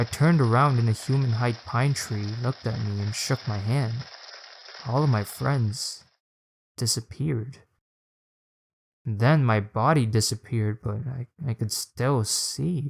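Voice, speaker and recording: A man speaks at a fairly slow pace with long, frequent pauses, on a very clean recording with a silent background. His medium-pitched voice is somewhat breathy, with ordinary pitch variation. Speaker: storyteller. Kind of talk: horror story narration.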